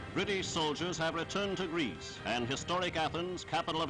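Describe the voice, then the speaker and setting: A man at a fairly high pitch, talking at a fairly quick pace with ordinary pitch variation and music in the background. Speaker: newsreel announcer. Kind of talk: wartime newsreel narration. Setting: archival 1940s recording.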